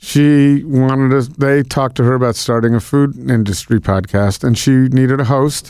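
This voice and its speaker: A man with an American accent and an ordinary speaking voice, medium pitch, fairly even intonation, and a moderate pace. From Connecticut, near New York. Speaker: food event organizer. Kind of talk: interview conversation.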